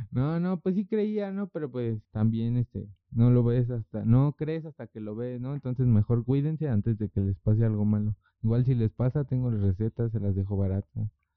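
A man talks with a normal speaking voice at medium pitch. He barely pauses, and his pitch varies an ordinary amount. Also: moderate pace. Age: 20s. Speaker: street juggler and clown. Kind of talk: casual chat.

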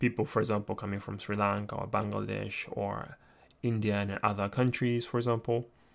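Speaking with a Japanese accent, a man has a fairly low pitch. The recording is very clean, with a silent background. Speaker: lecturer. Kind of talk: lecture. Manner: halting.

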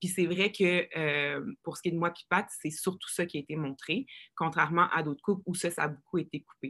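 In a strong Quebec accent, a woman with a fairly low pitch and a bright, sharp tone speaks with fairly even intonation, her voice dry and close with no echo. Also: moderate pace. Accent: strong joual Quebec French. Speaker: reality show contestant. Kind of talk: casual chat.

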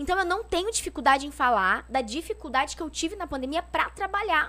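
A woman's raised, projected voice, high-pitched and bright and sharp in tone, with very wide pitch swings at a very fast pace. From São Paulo state interior (São José do Rio Preto). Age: 30s. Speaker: politician. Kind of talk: casual interview chat.

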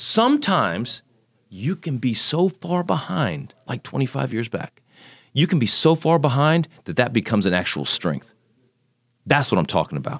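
A man speaks at a medium pitch with vocal fry and very wide pitch swings. The recording is very clean, with a silent background. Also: moderate pace, dry, close sound with no echo. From Texas (Magnolia, north of Houston), born in Japan. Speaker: congressional candidate. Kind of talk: interview. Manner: animated.

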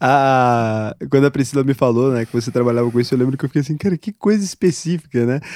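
Recorded with a dry, close sound and no echo, a man speaks at a very fast pace with hardly any pauses. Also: medium pitch for a man, ordinary pitch variation. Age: 20s. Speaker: podcast host. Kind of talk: casual interview.

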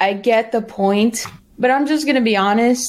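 A woman talks at a moderate pace in a normal speaking voice. Her pitch sits fairly high and her intonation is lively. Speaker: streamer. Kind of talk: casual chat.

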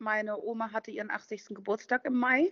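The pace is fairly slow. A woman talks, her pitch moving in an ordinary way. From western Germany, Düsseldorf/Duisburg. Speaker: van lifer. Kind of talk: casual chat.

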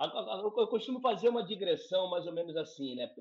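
A man speaks at a moderate pace. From Rio de Janeiro suburbs, Brazil. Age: 50s. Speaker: actor and clown teacher. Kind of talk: podcast interview.

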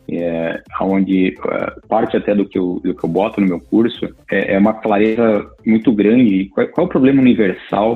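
A man's fairly low-pitched voice. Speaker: tech executive and university lecturer. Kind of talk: interview. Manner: halting, many filler repeats.

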